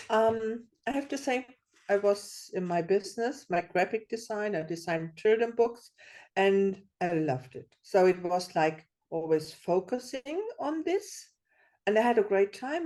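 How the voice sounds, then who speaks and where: A woman's fairly slow, lively speech in a non-native accent, with a dark, mellow tone, against a quiet background. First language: not English. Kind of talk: workshop share. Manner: halting.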